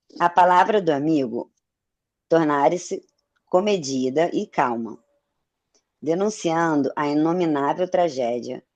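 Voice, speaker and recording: A woman speaks at a fairly slow pace with a very deep, low pitch. Her pitch varies in an ordinary way. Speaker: study group participant. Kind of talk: reading aloud.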